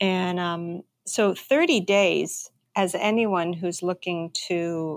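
A woman with an ordinary speaking voice at a medium pitch, her intonation fairly even. The sound is dry and close, with no echo. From Canada. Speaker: entrepreneur, bakery owner. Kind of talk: interview.

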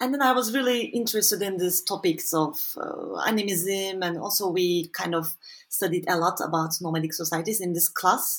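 Speaking at a fairly quick pace, a woman with a Turkish accent has a fairly low pitch and lively intonation. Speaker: social anthropologist. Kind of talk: interview. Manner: halting.

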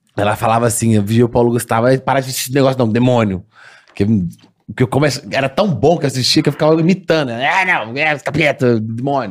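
A plain, everyday voice speaks at a fairly quick pace with very even loudness and ordinary pitch variation. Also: man, medium pitch for a man. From Minas Gerais, Brazil (Sete Lagoas). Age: 20s. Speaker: comedy video creator. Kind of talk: casual chat.

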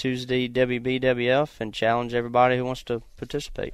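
A man speaks with a Virginia accent in a relaxed tone. His pace is moderate. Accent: Southern US (Virginia). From US South, Virginia. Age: 20s. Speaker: race car driver and hunter. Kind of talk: casual interview chat on an outdoors radio show. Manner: relaxed, with frequent filler words (uh, um, you know).

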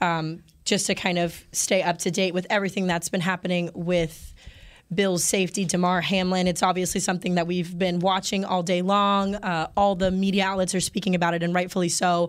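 A woman with a medium-pitched voice talks at a fairly quick pace in a monotone, flat intonation, her loudness very even, on a very clean recording with a silent background. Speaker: podcast host. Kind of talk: casual sports talk. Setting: studio.

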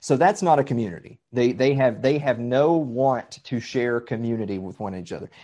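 Delivered at a moderate pace with hardly any pauses, the speech has a dark, mellow tone, lively intonation and a Southern US accent. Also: man, medium pitch for a man, big swings in loudness. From Middle Tennessee. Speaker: podcast guest. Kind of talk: casual chat.

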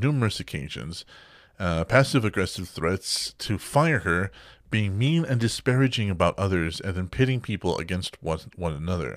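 Very wide pitch swings run through a man's speech at a fairly quick pace. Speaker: gaming podcast host. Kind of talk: casual chat; news reading. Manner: animated.

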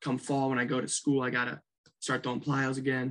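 The man's speech is fairly quick. It stays flat and monotone in intonation. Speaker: college baseball pitcher. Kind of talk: casual chat. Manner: loud.

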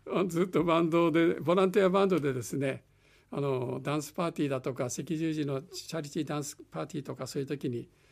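A man rattles off words very quickly in a fairly high pitch. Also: ordinary pitch variation. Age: 80s+. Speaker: private pilot and volunteer dance teacher. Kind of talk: radio interview.

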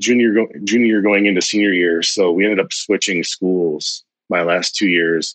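This man's pitch is fairly low, and it varies in an ordinary way as he talks. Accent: US Midwestern. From Ohio, rural. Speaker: recruiter. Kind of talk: casual chat.

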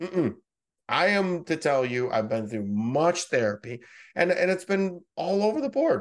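A man delivers his words with lively intonation and a moderate pace, the background quiet. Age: 40s. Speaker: tech company CEO and speaker. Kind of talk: casual interview. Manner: halting, repeats words.

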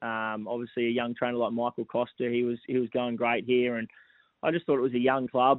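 The speaker has an Australian accent and talks fairly quickly in a monotone, flat intonation. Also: man, medium pitch for a man. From Gold Coast, Queensland, Australia. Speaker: racehorse trainer. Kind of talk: radio interview. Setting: phone call.

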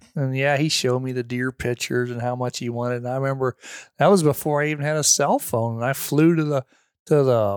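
Delivered at a fairly quick pace, this is a plain, everyday voice with a dry, close sound and no echo. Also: man. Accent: American. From Missouri, near St. Louis. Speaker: hunter and landowner. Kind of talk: casual chat. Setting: at guest's home property.

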